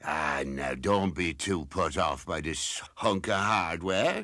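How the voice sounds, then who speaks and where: In a very clean recording with a silent background, a man puts on a character voice at a very deep, low pitch. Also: fairly slow pace. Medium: short film. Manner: hearty, chuckling.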